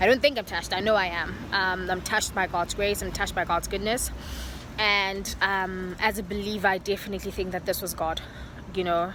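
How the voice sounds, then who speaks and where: With a bright, sharp tone and vocal fry, a woman talks at a fairly quick pace at a medium pitch with fairly even intonation. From South Africa. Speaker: vlogger. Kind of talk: vlog. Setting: outdoors. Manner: fast.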